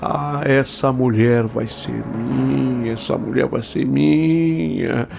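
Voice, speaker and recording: A quiet, rumbling put-on character voice from a man, medium in pitch, at a very slow pace with hardly any pauses, over loud background noise. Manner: low grumbling mutter.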